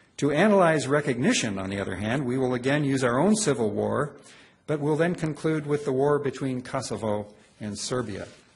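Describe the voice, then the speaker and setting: A man's somewhat breathy voice at a fairly quick pace, with lively intonation. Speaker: law professor. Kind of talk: lecture. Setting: stage with audience. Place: hall.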